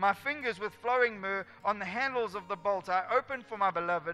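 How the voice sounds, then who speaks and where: A man speaks at a fairly quick pace in a raised, projected voice with ordinary pitch variation, faint music playing behind him. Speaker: pastor or speaker. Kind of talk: sermon. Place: stage.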